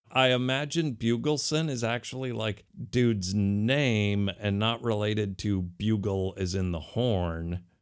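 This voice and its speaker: This is a normal speaking voice at a fairly slow pace. Its pitch variation is ordinary. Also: man, fairly low pitch for a man. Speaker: podcast co-host. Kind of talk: casual chat. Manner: casual, joking.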